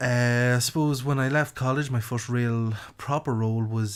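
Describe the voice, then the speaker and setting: With a rural Irish accent, a man speaks with fairly even intonation in a very clean recording with a silent background. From Ireland, County Louth. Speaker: marketing podcast host. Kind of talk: podcast monologue.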